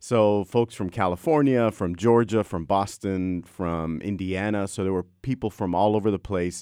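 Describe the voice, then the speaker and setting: A plain, everyday voice from a man, fairly low in pitch with ordinary pitch variation, at a moderate pace with hardly any pauses, in a very clean recording with a silent background and a dry, close sound with no echo. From US South, Texas border (Brownsville). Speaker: history professor. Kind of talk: interview.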